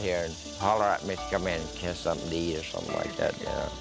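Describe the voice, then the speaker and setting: Music plays in the background as a man speaks with ordinary pitch variation in an American accent. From Oklahoma. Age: 80s+. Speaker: war veteran. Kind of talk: interview answer.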